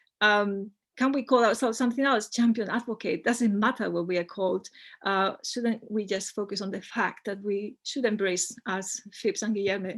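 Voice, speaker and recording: Speech in a Spanish accent at a moderate pace, fairly even in intonation, over a quiet background. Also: woman, fairly high pitch for a woman. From Spain. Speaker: academic presenter. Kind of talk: conference presentation. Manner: hesitant, many fillers.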